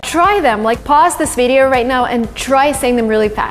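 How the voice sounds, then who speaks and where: A woman speaks with an American accent at high pitch. Music plays in the background. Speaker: English teacher / language vlogger. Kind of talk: tutorial.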